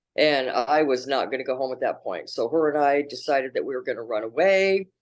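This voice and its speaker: Speaking at a fairly quick pace with an American accent, a woman uses a very deep, low pitch with ordinary pitch variation. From Oregon, US Pacific Northwest. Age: 60s. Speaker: addiction counselor. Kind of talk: interview testimony.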